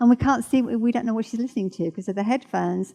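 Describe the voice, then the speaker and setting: This woman has a plain, everyday voice, pitched fairly high, with ordinary pitch variation. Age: 60s. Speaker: church speaker. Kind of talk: sermon. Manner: casual, conversational.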